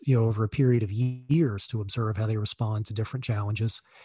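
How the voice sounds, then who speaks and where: A somewhat breathy voice with an American accent speaks at a very fast pace. The intonation stays fairly even over a quiet background. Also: man, hardly any pauses. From Virginia, US. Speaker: entrepreneur, car dealership owner, author. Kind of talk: interview.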